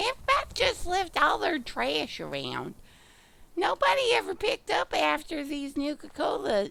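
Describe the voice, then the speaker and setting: A high-pitched, put-on character voice from a woman, moving at a moderate pace. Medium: game stream. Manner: quirky, eccentric.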